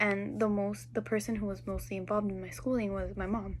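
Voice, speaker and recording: In a Spanish accent, a woman talks at a fairly quick pace. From Peru, raised in Miami from age six. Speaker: student teacher. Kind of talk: class assignment video reflection. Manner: casual, with fillers.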